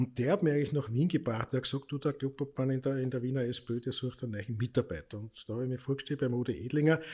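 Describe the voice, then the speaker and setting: At a very fast pace with hardly any pauses, a man speaks in a somewhat breathy voice of dark, mellow tone, at a medium pitch with ordinary pitch variation. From Austria, Lower Austria (Krems). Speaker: politician and party club director. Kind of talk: casual chat.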